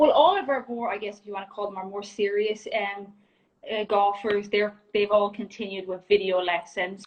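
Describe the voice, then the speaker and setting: Spoken with an Irish accent at a moderate pace, the intonation stays fairly even. The loudness swings widely. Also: woman, medium pitch for a woman. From Ireland. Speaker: junior golf coach. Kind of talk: casual interview chat. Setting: Instagram Live video call.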